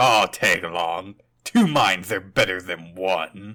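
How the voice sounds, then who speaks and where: Speaking at a fairly slow pace, a man uses a raspy put-on character voice pitched very deep and low. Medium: audio drama. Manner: gruff, sarcastic.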